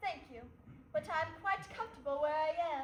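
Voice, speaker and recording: A woman does a squeaky, put-on character voice at an extremely high pitch, with lively intonation at a moderate pace, amid clear background noise and slight echo. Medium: stage play. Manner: crisp, assured, arch.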